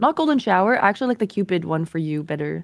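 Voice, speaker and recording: A woman talks at a very fast pace with lively intonation against a quiet background. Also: dry sound with no echo. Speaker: streamer. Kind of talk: casual chat. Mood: playful, laughing. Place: home room. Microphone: studio mic.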